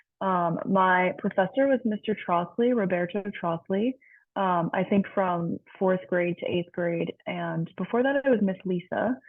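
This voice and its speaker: Using a plain, everyday voice, a woman speaks at a fairly slow pace with a medium pitch and ordinary pitch variation. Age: 20s. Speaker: chemical engineer. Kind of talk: panel introduction. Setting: video call.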